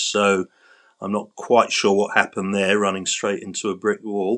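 A man with a London accent speaks in a bright, sharp tone. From London, England. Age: 50s. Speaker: patient sharing chronic illness story. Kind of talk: interview testimony. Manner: halting.

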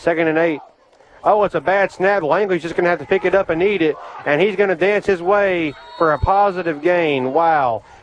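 A man with a high pitch and ordinary pitch variation over noticeable background noise. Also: moderate pace. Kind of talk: live high school football play-by-play radio commentary. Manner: folksy, conversational, steady play-by-play call with local color.

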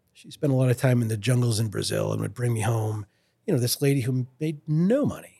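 A man speaks at a medium pitch in a dark, mellow tone that is somewhat breathy. His pitch varies in an ordinary way. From Lewiston, Maine (French Canadian family). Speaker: fly rod company founder. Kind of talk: casual interview.

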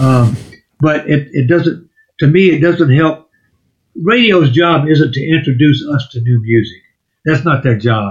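A somewhat breathy man at a fairly high pitch, with ordinary pitch variation, a fairly slow pace and long, frequent pauses. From Louisiana. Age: 70s. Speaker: songwriter and musician. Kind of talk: podcast interview.

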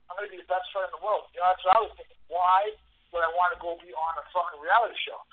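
High-pitched male voice in a New York accent, very fast and monotone, flat, with big swings in loudness. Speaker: mixed martial arts fighter. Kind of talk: interview.

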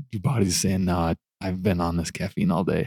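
This man has a normal speaking voice, with ordinary pitch variation at a moderate pace. The sound is dry and close, with no echo. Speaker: truck driver. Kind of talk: casual chat.

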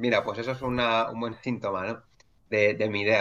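The voice belongs to a man with a medium pitch. His intonation is fairly even. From Madrid, Spain. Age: 40s. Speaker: entrepreneur. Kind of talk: interview conversation. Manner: halting, many fillers and repetitions.

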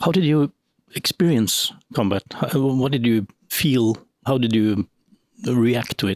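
A man with a Norwegian accent speaks at a fairly slow pace with long, frequent pauses and very even loudness, in a dry, close sound with no echo. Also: medium pitch for a man, lively intonation. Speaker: podcast host. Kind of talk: interview. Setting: club venue. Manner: halting.

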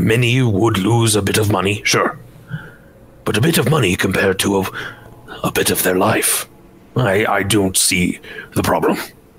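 A man's put-on character voice, fairly low in pitch, at a moderate pace with long, frequent pauses and clear background noise. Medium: actual play. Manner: formal, courteous, earnest.

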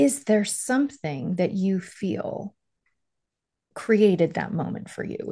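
Here is a woman with a medium pitch and a dark, mellow tone. Her voice is somewhat breathy. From Long Island, then Miami. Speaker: podcast host for this swap episode. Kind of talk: casual interview chat.

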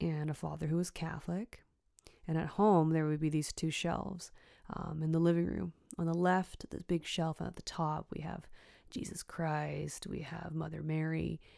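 A woman talks with a Canadian accent at a moderate pace. The recording is very clean with a silent background. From western Canada (Richmond, BC, near Vancouver). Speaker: podcast host, energy healer. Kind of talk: personal storytelling monologue. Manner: casual, filler-heavy.

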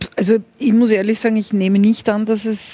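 Medium pitch from a woman, with noticeable background noise behind. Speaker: former health minister, intensive care doctor.

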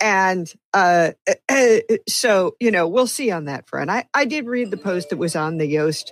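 A woman with an American accent and a plain, everyday voice speaks at a medium pitch and a fairly slow pace with lively intonation, recorded very cleanly against a silent background with a dry, close sound and no echo. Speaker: WordPress meetup organizer. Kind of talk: casual panel discussion.

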